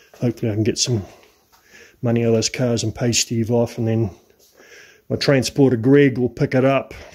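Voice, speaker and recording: In a very clean recording with a silent background, a man speaks at a moderate pace and medium pitch, his tone dark and mellow and his intonation monotone and flat. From New Zealand. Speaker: classic car restorer. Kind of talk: workshop vlog. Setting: home garage. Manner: casual.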